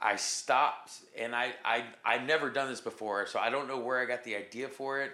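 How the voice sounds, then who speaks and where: Here a man with an unremarkable speaking voice and medium pitch speaks at a fairly quick pace. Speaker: musician and Marine veteran. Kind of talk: interview conversation.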